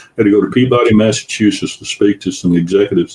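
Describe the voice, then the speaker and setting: A man with a Southern US accent talks at a very fast pace in a fairly low voice. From US South. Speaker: guest, former consultant. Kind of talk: casual chat.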